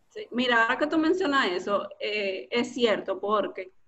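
A woman's voice with a fairly high pitch. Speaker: storytelling and copywriting instructor. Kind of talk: casual interview.

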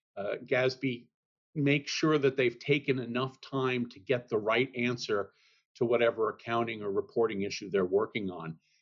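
Moderate pace and ordinary pitch variation in a plain, everyday voice. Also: man. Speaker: accounting standards expert. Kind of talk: interview.

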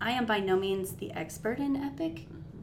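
A woman with an American accent speaks at a medium pitch and a fairly slow pace. Her intonation is lively, and the room echo is audible. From northern Nevada. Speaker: instructional coach, former teacher. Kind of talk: casual chat.

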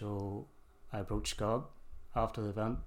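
Through audible room echo, a man with a Northern Irish accent speaks at a moderate pace in a fairly low pitch with monotone, flat intonation. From Northern Ireland, Kilkeel, County Down. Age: 20s. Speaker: church youth group leader. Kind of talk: casual interview testimony.

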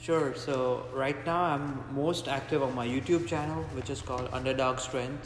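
Barely pausing, a man talks at a medium pitch over noticeable background noise. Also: ordinary pitch variation, moderate pace. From India (Mumbai). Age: 20s. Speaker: strength coach and powerlifter. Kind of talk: casual interview. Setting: in a gym.

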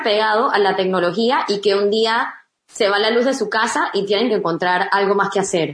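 This woman has a normal speaking voice with a fairly high pitch. She talks at a moderate pace with ordinary pitch variation. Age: 20s. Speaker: children's book author and teacher. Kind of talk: interview.

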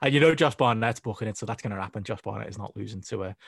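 The sound is dry and close with no echo as a man speaks at a fairly low pitch with vocal fry. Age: 30s. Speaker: wrestling journalist. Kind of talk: casual chat.

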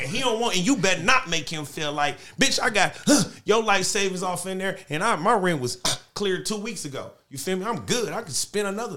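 A man talks at a fairly quick pace in a high, raised, projected voice, his tone bright and sharp and his intonation lively. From Los Angeles (Watts). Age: 30s. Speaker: music artist. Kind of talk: casual chat. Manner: animated.

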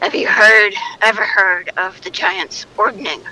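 A woman performs a put-on character voice that is gruff and raspy at a medium pitch. She talks at a fairly slow pace with fairly even intonation. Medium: actual play. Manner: terse, blunt.

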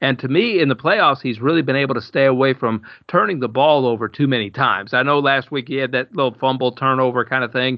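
A man speaks with a Southern US accent at a medium pitch. His pace is fairly quick. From Alabama. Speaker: podcast host. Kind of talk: casual chat. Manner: energetic, chatty.

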